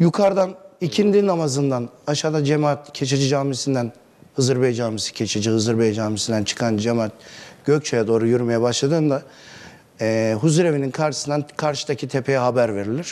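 A fairly quick pace with ordinary pitch variation. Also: man. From Turkey, Isparta; Turkey. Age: 40s. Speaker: neighbourhood headman; interview guest. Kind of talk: TV interview. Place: studio. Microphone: lapel.

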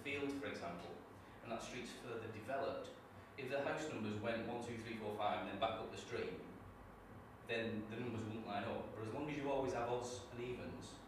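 A man of medium pitch speaks at a moderate pace. Strong room echo and noticeable background noise fill the recording. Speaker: trainee teacher; network marketing distributor. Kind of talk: classroom presentation. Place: classroom. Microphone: camera far.

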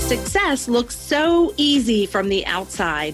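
A woman talks fairly slowly while music plays in the background. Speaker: podcast host. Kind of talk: podcast intro narration.

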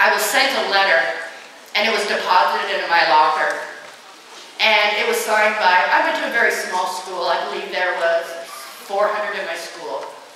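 A woman speaks with long, frequent pauses amid strong room echo and light background noise. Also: ordinary pitch variation, moderate pace. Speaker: motivational speaker against bullying. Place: hall.

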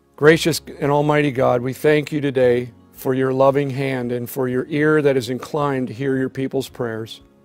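Faint music plays in the background as a man speaks at a moderate pace with monotone, flat intonation. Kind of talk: prayer and reflection. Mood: solemn, reverent. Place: office.

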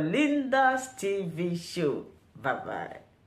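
A woman's voice with very wide pitch swings, faint background music and audible room echo. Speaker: YouTube news reaction host. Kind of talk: channel intro and outro. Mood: cheerful, smiling.

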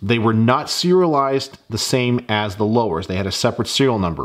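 At a fairly quick pace, a man with an unremarkable speaking voice talks at medium pitch with ordinary pitch variation. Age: 40s. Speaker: gun YouTuber. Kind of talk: tutorial. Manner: casual. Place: workshop.

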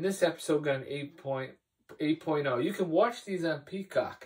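A man speaks with ordinary pitch variation. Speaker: TV episode reviewer. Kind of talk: casual vlog review. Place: home room. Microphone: camera far.

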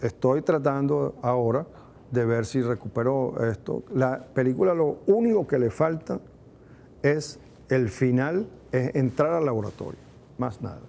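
A man with a dark, mellow tone talks fairly slowly at a medium pitch, his pitch varying in an ordinary way. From Venezuela, Barquisimeto. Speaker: film director. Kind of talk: interview testimony. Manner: halting.

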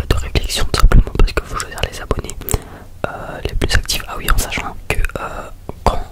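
Someone is whispering. Noticeable background noise is audible. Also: moderate pace. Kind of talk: ASMR gaming commentary. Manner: whispered; casual, rambling.

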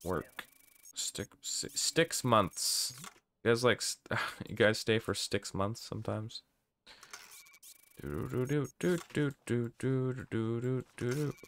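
Light background noise sits behind a man speaking at a very slow pace with long, frequent pauses. His intonation is lively. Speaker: gaming streamer; game streamer. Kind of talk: live gameplay commentary.

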